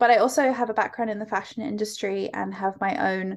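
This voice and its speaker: A woman with an English accent, at a moderate pace. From UK. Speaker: fashion school director. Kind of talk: interview conversation.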